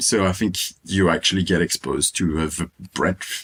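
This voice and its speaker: A man with a French accent and fairly even intonation. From Réunion Island. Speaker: medical student. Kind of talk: interview.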